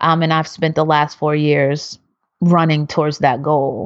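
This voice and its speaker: A woman with a Philadelphia accent and a very deep, low pitch, fairly even intonation and a moderate pace. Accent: Philadelphia American. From Philadelphia, US. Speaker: researcher and activist. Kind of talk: interview.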